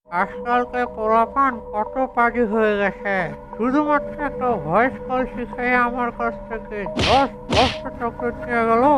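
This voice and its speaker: A cartoonish character voice with a fairly high pitch goes along at a fairly slow pace over clear background music. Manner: gullible.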